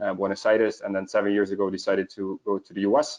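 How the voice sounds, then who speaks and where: A man with a Dutch accent talks at a very fast pace. His intonation is monotone and flat. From Netherlands. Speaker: proptech investment network founder. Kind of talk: panel interview on video call. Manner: halting with many fillers.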